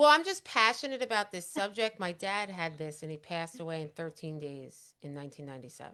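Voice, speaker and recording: With a Long Island accent, a woman talks very fast in a fairly low pitch and a bright, sharp tone, using lively intonation, big swings in loudness and hardly any pauses. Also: very clean recording, silent background. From Long Island, New York. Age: 50s. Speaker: talk show host. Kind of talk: casual chat. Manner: animated, passionate.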